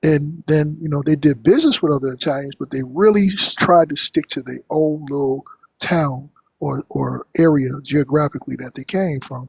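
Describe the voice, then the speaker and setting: An American man with a fairly high, somewhat breathy voice talks at a moderate pace, his intonation fairly even but his loudness swinging widely. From New York. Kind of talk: heated debate.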